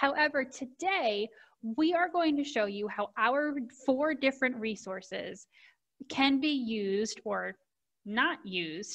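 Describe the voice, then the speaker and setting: Against a quiet background, a woman with a high pitch speaks at a fairly slow pace. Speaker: presenter. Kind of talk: presentation on book resources. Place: home room. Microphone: video call.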